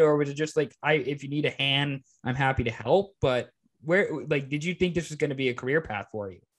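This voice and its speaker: A man's plain, everyday voice with an American accent, at a moderate pace with ordinary pitch variation. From Everett, Washington, US. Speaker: podcast host. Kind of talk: casual chat.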